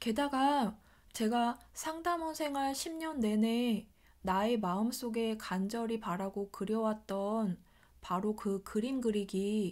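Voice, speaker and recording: Very slow speech from a woman, fairly high in pitch, with ordinary pitch variation. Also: very clean recording, silent background. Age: 40s. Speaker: vlogger, former call center agent. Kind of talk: personal vlog monologue.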